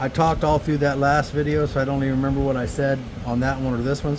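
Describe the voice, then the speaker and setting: A man at a medium pitch and a very fast pace, over noticeable background noise. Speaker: flintknapping hobbyist. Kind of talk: tutorial. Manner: soft-spoken; casual, hesitant with fillers.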